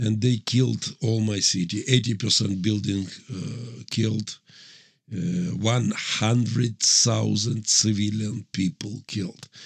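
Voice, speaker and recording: A man with a Ukrainian accent at a very slow pace, fairly low in pitch, with vocal fry and ordinary pitch variation. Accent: Russian-speaking Ukrainian accent in English. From Ukraine, Mariupol. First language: Russian. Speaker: pastor and military chaplain. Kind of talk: interview testimony. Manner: halting non-native English.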